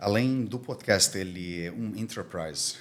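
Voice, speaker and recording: A man speaks at a fairly slow pace with a non-native accent. His intonation is lively. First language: Armenian (speaking Portuguese). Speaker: diplomatic community commissioner. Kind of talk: podcast interview. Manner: halting.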